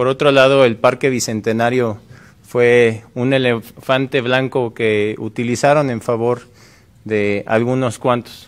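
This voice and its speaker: At a very slow pace, a man talks in a monotone with flat intonation. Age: 30s. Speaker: mayoral candidate; candidate. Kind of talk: political debate. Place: studio. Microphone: podium.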